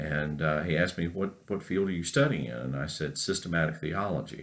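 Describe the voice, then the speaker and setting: Someone with an American accent speaks at a fairly quick pace with ordinary pitch variation. Room echo is audible. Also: man, very deep, low pitch for a man. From North Carolina. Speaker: professor. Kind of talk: lecture. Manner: halting, many fillers.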